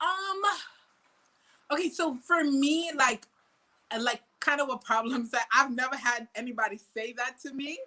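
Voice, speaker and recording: A woman with an American accent uses a raised, projected voice with a bright, sharp tone and high pitch, speaking at a moderate pace with ordinary pitch variation and long, frequent pauses. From Trinidad, then US from age 13. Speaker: soca artist. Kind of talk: casual interview.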